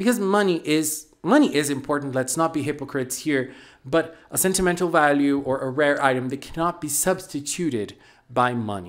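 A man at a moderate pace with ordinary pitch variation and a quiet background. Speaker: anime reviewer. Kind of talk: commentary. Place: home room. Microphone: handheld.

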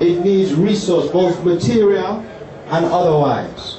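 A man's high pitch against noticeable background noise. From Jamaica. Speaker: university professor and event organizer. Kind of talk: public speech at civic ceremony. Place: tent.

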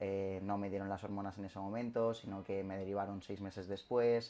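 A man speaks at a moderate pace with a fairly low pitch. His tone is dark and mellow, and his intonation is monotone and flat. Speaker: interviewee. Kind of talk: interview answer. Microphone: camera far.

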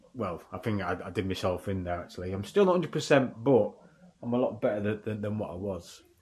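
A man with a northern English accent talks at a very fast pace and a fairly low pitch. His voice is somewhat breathy, with ordinary pitch variation. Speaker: running vlogger. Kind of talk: vlog while running. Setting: outdoors. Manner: halting.

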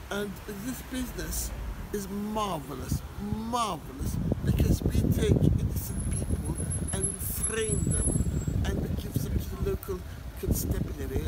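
Over loud background noise, a man speaks at a fairly slow pace. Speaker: comic character in a sketch. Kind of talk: comic monologue to camera. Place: street. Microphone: phone near.

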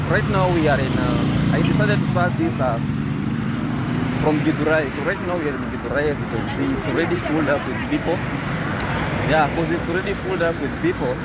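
Loud background noise sits under a man whose dry sound has no echo, and he leaves long, frequent pauses. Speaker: travel vlogger. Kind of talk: casual vlog chat. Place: motorbike. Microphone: phone near.

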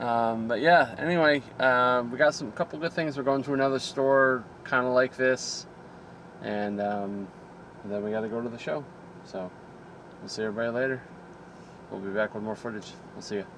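A man at a moderate pace, with long, frequent pauses, ordinary pitch variation and big swings in loudness, recorded dry with no echo over light background noise. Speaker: vlogger. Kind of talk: casual vlog chat. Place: car. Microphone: phone near.

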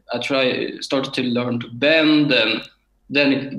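This voice has a bright, sharp tone and a Swedish accent. It moves at a very slow pace in a monotone, flat delivery. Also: man. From Sweden, Örebro. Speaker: beginner harmonica player, municipal board secretary. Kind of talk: interview. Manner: halting.

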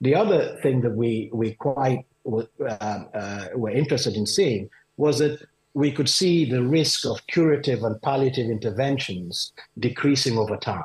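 At a moderate pace, a man talks in a somewhat breathy voice against a quiet background. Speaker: urology professor. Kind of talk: interview. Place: home room. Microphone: video call.

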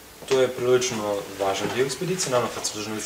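Someone speaks at a very fast pace over noticeable background noise. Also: man. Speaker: interviewee. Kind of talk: interview answer. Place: hall. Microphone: camera far.

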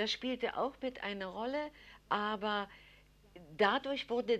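A woman's fairly high voice against a quiet background. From Berlin. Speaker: resistance fighter; educator. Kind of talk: interview answer.

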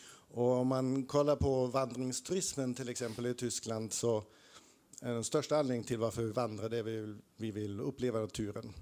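With a dark, mellow tone, a man talks at a moderate pace and a medium pitch. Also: fairly even intonation. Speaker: audience member, researcher; audience member. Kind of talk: audience comment. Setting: stage with audience. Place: hall.

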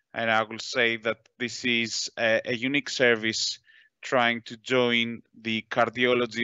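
In a dry, close sound with no echo, a man speaks at a moderate pace and medium pitch, his tone bright and sharp yet clear and smooth, with little pitch movement.

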